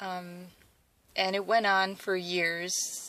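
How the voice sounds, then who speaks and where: This woman has a Wisconsin accent and a fairly low pitch. Her tone is bright and sharp, and her intonation is monotone and flat. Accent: Midwestern Wisconsin. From Wisconsin, US Midwest (from age 8; born South Korea). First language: Korean. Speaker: athlete vlogger. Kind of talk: personal testimony vlog. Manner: hesitant, many fillers.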